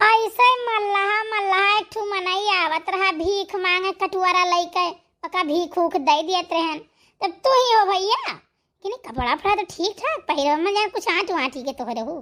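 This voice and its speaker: A woman puts on a squeaky, cartoonish character voice at an extremely high pitch, with lively intonation and a moderate pace. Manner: blunt, scolding.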